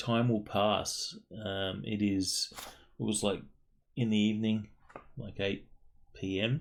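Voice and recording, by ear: The speaker is reading aloud in a natural voice, the intonation staying fairly even.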